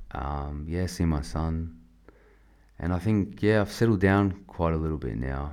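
This man has an Australian accent and a very deep, low pitch. He speaks at a fairly slow pace with ordinary pitch variation. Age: 20s. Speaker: army veteran. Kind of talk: testimony. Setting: studio. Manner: halting.

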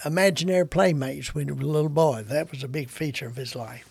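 A man's fairly high, somewhat breathy voice with a Kentucky accent, big swings in loudness, ordinary pitch variation and hardly any pauses. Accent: Southern US, Kentucky. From Kentucky, US South. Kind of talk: casual conversational interview.

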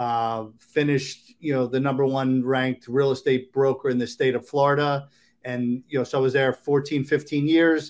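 A monotone, flat delivery with an American accent at a moderate pace. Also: man, medium pitch for a man. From Maryland. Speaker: real estate agent. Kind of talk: interview. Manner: halting.

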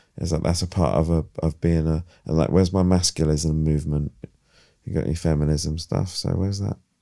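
In a British accent and a playful tone, a man speaks fairly quickly with a very deep, low pitch, a dark, mellow tone and fairly even intonation, in a very clean recording with a silent background. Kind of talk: casual chat. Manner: joking, playful.

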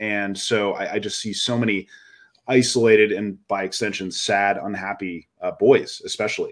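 A very clean recording of a man, moderately paced, against a silent background. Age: 40s. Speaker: podcast co-host. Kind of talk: casual chat.

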